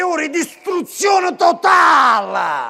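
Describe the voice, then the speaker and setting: In a Neapolitan accent, a man uses a raised, projected voice. His tone is energetic and his intonation lively. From Naples. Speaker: stand-up comedian. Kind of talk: live stand-up comedy show. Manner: energetic, satirical.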